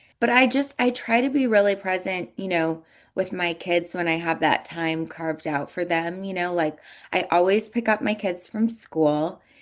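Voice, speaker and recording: At a moderate pace and medium pitch, a woman with a normal speaking voice and ordinary pitch variation talks against a quiet background. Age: 30s. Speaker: entrepreneur and former model. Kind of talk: interview. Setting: radio show.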